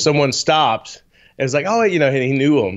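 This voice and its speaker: This man has an unremarkable speaking voice, medium in pitch, with lively intonation. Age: 40s. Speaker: guitarist and business owner. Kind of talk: casual chat. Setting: live stream with chat.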